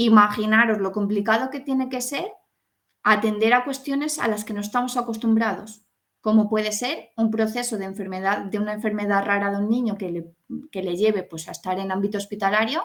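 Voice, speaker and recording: At a fairly quick pace, this woman speaks in an unremarkable speaking voice, her pitch varying in an ordinary way. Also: fairly high pitch for a woman. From Spain, Salamanca. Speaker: pedagogue, hospital education specialist. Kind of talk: online talk to an audience.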